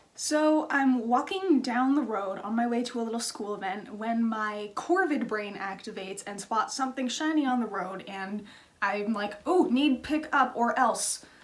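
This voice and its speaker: A woman talks at a moderate pace and fairly high pitch with hardly any pauses, over noticeable background noise and audible room echo. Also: lively intonation. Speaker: craft youtuber. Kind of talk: casual vlog storytelling. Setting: home.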